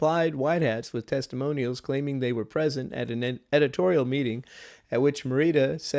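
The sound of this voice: The voice reads in an unforced way, an unforced reading voice.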